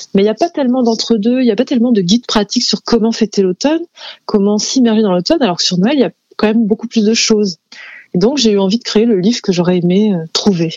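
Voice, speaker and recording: A woman rattles along at a very fast pace, fairly high in pitch with ordinary variation. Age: 30s. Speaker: illustrator and author. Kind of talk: interview. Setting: studio.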